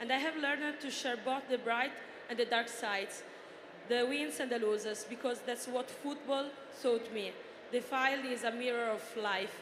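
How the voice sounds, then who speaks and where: A woman with an Italian accent, high in pitch, at a moderate pace with fairly even intonation, plus audible room echo and noticeable background noise. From Italy. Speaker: journalist and influencer, former footballer. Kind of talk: reading prepared answers on a panel. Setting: stage with audience.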